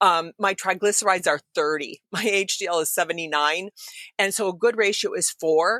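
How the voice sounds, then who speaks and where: Bright, sharp tone from a woman at medium pitch with ordinary pitch variation, very clean recording with a silent background, dry and close with no echo. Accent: American. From Michigan, Detroit. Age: 60s. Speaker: science writer and author. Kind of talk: podcast interview. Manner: fast, animated.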